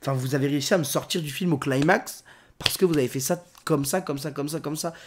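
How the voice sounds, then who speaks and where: The recording is very clean, and the background is silent. A man speaks very fast. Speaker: film critic. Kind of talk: film review monologue. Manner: halting.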